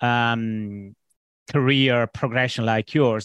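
Here is a man with a normal speaking voice, medium in pitch. He speaks at a fairly slow pace in a quiet background. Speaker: podcast host. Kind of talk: interview, conversational.

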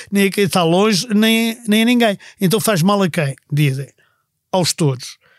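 A man's high voice with lively intonation, a moderate pace and a dry, close sound with no echo. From Portugal, Viseu family. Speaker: history podcast co-host. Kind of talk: casual chat.

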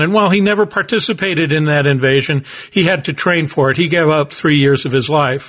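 A man speaks in an unremarkable speaking voice, with an American accent. His pitch is fairly high, with ordinary pitch variation. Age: 60s. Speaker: business professor and podcast host. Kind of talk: solo podcast monologue, storytelling.

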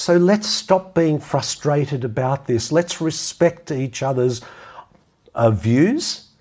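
A man's fairly high, somewhat breathy voice with an Australian accent, lively intonation and a very slow pace. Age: 60s. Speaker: podcast host and health practitioner. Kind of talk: solo monologue commentary.

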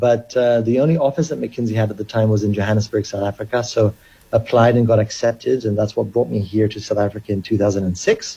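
In a fairly low, somewhat breathy voice with a dark, mellow tone, a man speaks at a fairly quick pace with fairly even intonation. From Kenya. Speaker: cryptocurrency company chief executive. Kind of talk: radio interview.

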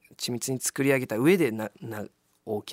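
The man's voice has vocal fry and lively intonation. It is recorded with a dry, close sound and no echo. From Kobe, Japan. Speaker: actor and musician. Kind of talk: radio interview.

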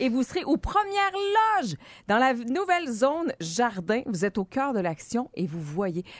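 A woman with a Quebec accent speaks at a high pitch in an animated tone with very wide pitch swings, the sound dry and close with no echo. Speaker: radio host. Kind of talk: casual morning radio banter.

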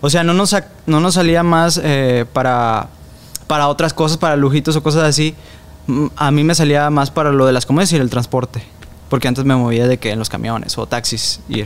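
An unremarkable speaking voice moves at a moderate pace. The intonation is fairly even. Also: man. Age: 20s. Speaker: former TV show performer and actor. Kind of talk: interview.

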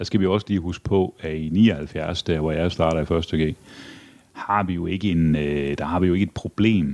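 At a fairly slow pace, a man speaks with a very deep, low pitch and fairly even intonation. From Denmark, Aarhus. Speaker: politician. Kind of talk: interview. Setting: his parliament office.

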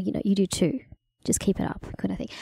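In an Australian accent, a woman with a dark, mellow tone and vocal fry talks at a fairly quick pace. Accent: Australian; people can't place it. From Australia, country Victoria (Bendigo). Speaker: cross-cultural consultant. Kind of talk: interview. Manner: hesitant fillers.

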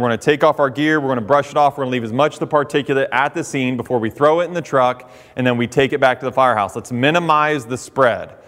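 This man has an ordinary speaking voice. His pitch is fairly high, with ordinary pitch variation. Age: 30s. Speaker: firefighter. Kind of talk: speech. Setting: hall with audience.

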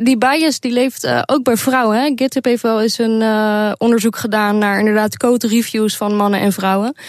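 Her normal speaking voice sits at a fairly high pitch, with fairly even intonation and very even loudness throughout. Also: moderate pace. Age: 20s. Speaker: programmer. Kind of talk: radio interview.

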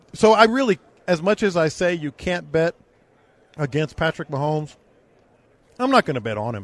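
A man with a fairly high pitch talks at a moderate pace, leaving long, frequent pauses, and his pitch swings very widely. The recording is very clean with a silent background and a dry, close sound with no echo. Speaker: sports radio host. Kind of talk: sports hype monologue, theatrical Vegas-style build-up, then casual sports talk. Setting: live radio show on location in Las Vegas. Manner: dramatic, animated, building like a ring announcer.

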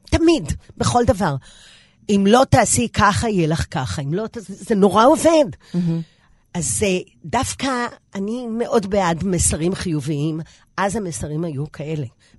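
With vocal fry and very wide pitch swings, the speaker goes at a fairly slow pace with long, frequent pauses against a quiet background. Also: woman, medium pitch for a woman. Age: 60s. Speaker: pilates instructor, former TV fitness presenter. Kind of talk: interview.

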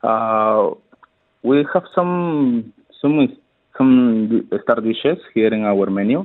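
A man with a Spanish accent, lively intonation, a very slow pace, and long, frequent pauses. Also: medium pitch for a man. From Peru, Ica. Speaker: head chef. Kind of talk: radio interview.

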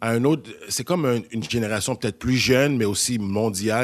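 A man talks fairly slowly at a medium pitch, his pitch varying in an ordinary way. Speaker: actor. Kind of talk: casual discussion.

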